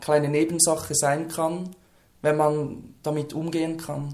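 A fairly slow, monotone delivery with flat intonation in a Lucerne accent. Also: man. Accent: Swiss German (Lucerne). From Switzerland, Lucerne. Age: 20s. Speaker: person who stutters, trainee social worker. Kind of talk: interview. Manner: few audible stutters.

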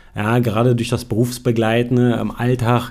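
Delivered in a monotone, flat intonation at a moderate pace, the speech carries audible room echo. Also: man. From Brandenburg, Germany. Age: 40s. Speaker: mature student. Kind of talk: interview. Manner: hesitant, many fillers.

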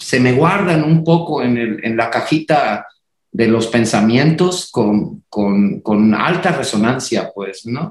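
A man talks at a very slow pace with a somewhat breathy quality. His pitch swings very widely. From northern Mexico, Reynosa, Tamaulipas. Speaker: choreographer and dance company director. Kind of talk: casual chat.

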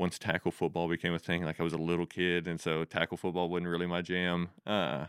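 A man with an American accent talks at a fairly quick pace in a very deep, low voice, his loudness very even and his intonation flat and monotone. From Texas Panhandle area. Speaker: fitness coach and gym owner. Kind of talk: casual interview chat.

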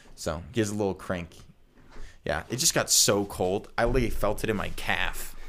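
Using an unremarkable speaking voice, a man talks at a moderate pace with fairly low pitch and ordinary pitch variation. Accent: American. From Colorado, US. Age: 20s. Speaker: podcast host. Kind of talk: casual chat.

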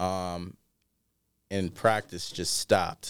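In a very clean recording with a silent background, a man speaks with fairly even intonation. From Iowa, US Midwest. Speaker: R&B singer and athlete. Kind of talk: casual interview. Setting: studio.

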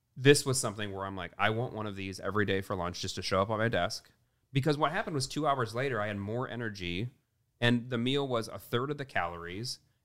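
A man with an American accent speaks at a very fast pace. His pitch is medium, with ordinary pitch variation. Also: very clean recording, silent background. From US Midwest. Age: 30s. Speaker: entrepreneur and investor. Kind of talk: casual interview chat.

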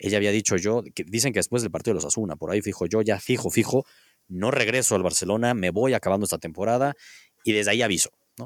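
A man speaks very fast with a Mexican accent, his pitch fairly low. The recording is very clean, with a silent background. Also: ordinary pitch variation, dry, close sound with no echo. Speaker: sports podcast host. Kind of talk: casual chat.

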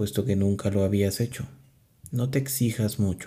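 This man's voice is dark and mellow, fairly low in pitch and somewhat breathy, with ordinary pitch variation and a calm tone. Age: 30s. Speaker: podcast host. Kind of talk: spiritual talk; guided meditation. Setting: alone in a closed room.

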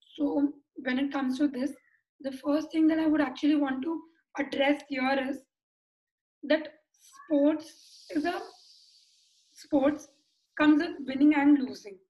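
A woman with an Indian accent, high in pitch yet dark and mellow in tone, at a fairly slow pace with monotone, flat intonation and long, frequent pauses. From Mumbai, India. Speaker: sports psychologist. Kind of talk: casual interview.

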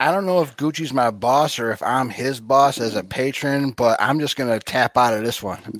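Featuring an ordinary speaking voice, a man talks at a moderate pace with ordinary pitch variation. He takes hardly any pauses. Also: medium pitch for a man. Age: 40s. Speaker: fill-in co-host. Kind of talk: casual chat.

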